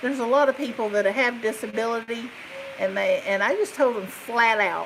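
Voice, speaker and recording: A woman with a fairly high pitch and ordinary pitch variation talks at a moderate pace over noticeable background noise. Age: 50s. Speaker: crochet YouTuber, retired nurse. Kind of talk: casual live stream chat. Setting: live stream. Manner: animated.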